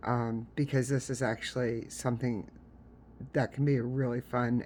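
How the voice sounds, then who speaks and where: The speaker talks at a very slow pace. They have an American accent. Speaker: crochet tutorial creator. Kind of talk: tutorial; casual chat. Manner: casual, filler-heavy.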